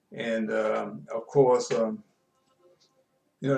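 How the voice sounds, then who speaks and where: Music plays in the background as a man talks with very wide pitch swings. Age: 70s. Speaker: sports show host. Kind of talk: casual storytelling monologue. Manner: halting, many fillers.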